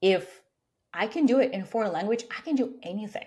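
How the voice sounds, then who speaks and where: Speaking at a very fast pace, a woman with a non-native accent uses lively intonation and a dark, mellow tone. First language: not English. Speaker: career coach. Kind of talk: interview.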